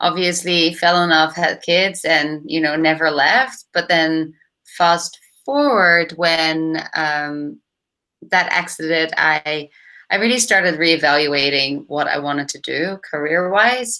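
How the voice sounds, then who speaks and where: At a very slow pace, a woman speaks with a bright, sharp tone. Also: fairly low pitch for a woman, ordinary pitch variation. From Netherlands. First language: Dutch. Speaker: startup founder and CEO. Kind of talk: podcast interview.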